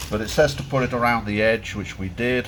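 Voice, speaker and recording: Here a man speaks at medium pitch and a moderate pace. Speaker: boat mechanic. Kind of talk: casual workshop walkthrough. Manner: loud; halting.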